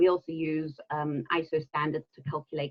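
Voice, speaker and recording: At a moderate pace, the speaker talks with a slight South African accent. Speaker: environmental consultant and trainer. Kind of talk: webinar presentation. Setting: online webinar.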